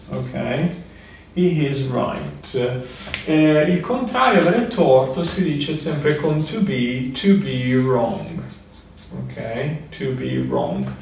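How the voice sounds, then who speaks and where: A man with a fairly high pitch speaks at a very slow pace, leaving long, frequent pauses. Room echo is audible, along with light background noise. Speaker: English teacher. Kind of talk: lecture. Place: home room. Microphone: camera far.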